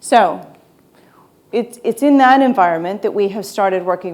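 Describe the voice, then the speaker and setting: This is a plain, everyday voice with an American accent. It has ordinary pitch variation. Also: woman. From United States. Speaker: e-commerce consultant. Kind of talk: conference talk.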